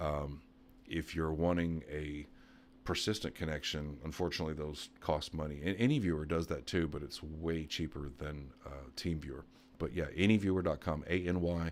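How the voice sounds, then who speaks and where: Soft-spoken and very deep, a man talks with fairly even intonation on a very clean recording with a silent background. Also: moderate pace. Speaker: computer repair tech YouTuber. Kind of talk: live stream Q&A. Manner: quiet, speaking softly; casual, with many fillers.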